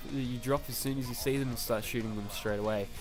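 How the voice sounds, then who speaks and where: With music playing behind him, a man talks in a mid-range pitch. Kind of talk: gaming tips commentary. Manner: casual, hesitant.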